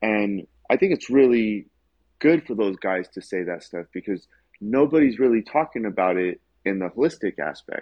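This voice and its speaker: At a moderate pace, a man talks in a plain, everyday voice with a fairly low pitch. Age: 40s. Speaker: martial artist. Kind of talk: casual chat.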